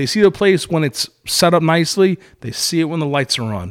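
On a very clean recording with a silent background, a man with a Brooklyn accent speaks with lively intonation. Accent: New York (Brooklyn). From Brooklyn, New York. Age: 30s. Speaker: restaurant and venue owner. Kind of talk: casual chat.

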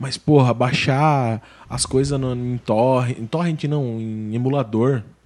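A man speaks in an ordinary speaking voice at medium pitch. His pace is fairly slow and his intonation fairly even. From Brazil, interior of Paraná. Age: 30s. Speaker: podcast host. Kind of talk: casual chat. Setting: studio.

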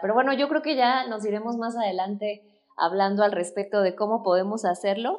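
This woman's fairly high voice shows ordinary pitch variation. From Mexico. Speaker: former university professor. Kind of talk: casual interview chat.

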